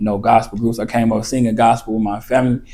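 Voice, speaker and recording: A man with an Arkansas accent, medium pitch, a very fast pace and monotone, flat intonation. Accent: Southern US (Arkansas). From eastern Arkansas, US South. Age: 30s. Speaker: rapper. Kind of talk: casual interview chat.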